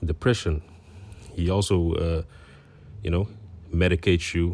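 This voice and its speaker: The recording is very clean, with a silent background. A man with a Dutch accent talks at a moderate pace in a very deep, low voice with monotone, flat intonation. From Netherlands. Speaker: religious teacher. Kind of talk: religious commentary. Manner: halting, many fillers.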